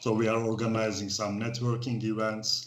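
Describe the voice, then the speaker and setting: Speaking at a moderate pace with a Turkish accent, a man uses a fairly low pitch, and audible room echo surrounds his voice. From Turkey. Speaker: expat club organizer. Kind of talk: casual interview. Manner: halting.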